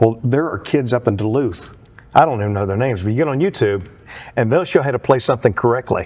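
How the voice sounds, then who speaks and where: A man talks at a very fast pace and a medium pitch. His intonation is lively. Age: 60s. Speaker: country singer and theatre performer. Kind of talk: casual interview chat. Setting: studio.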